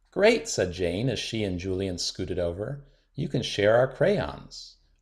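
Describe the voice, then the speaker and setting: A man speaks with a fairly low pitch and a somewhat breathy voice. His intonation is lively. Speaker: children's book reader. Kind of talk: bedtime picture book read-aloud.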